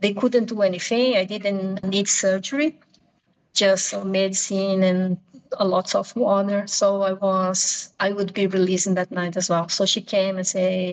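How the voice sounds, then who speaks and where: In a Portuguese accent, a woman speaks at a moderate pace and medium pitch, her intonation fairly even. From Brazil. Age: 50s. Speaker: pilgrim sharing travel story. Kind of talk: interview storytelling. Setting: video call. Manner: halting, self-correcting.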